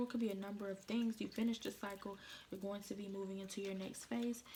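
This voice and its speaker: Against noticeable background noise, a woman talks at a very fast pace in a medium pitch with monotone, flat intonation. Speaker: tarot card reader. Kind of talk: tarot reading. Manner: casual, informal; quiet, subdued tonight.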